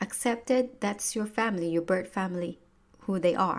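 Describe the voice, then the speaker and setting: Her pitch moves in an ordinary way as a woman speaks with a Filipino accent. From Philippines. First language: Tagalog. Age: 30s. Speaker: podcast host, personal growth coach. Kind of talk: motivational podcast monologue. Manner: casual, halting with many fillers.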